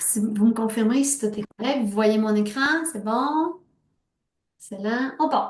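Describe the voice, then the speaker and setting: A woman speaks at a very slow pace in a fairly high, somewhat breathy voice. Her pitch variation is ordinary, and her loudness swings widely. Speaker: sales team leader. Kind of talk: team meeting pep talk. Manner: animated.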